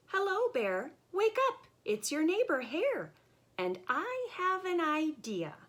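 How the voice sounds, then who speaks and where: A put-on character voice squeaks at an extremely high pitch. It moves at a fairly slow pace with very wide pitch swings. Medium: read story. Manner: smooth, persuasive.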